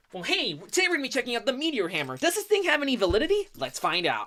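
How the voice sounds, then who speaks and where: In a put-on character voice, a female-sounding speaker talks at a very fast pace with a high pitch and very wide pitch swings. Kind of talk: stiff, formal. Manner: overly serious.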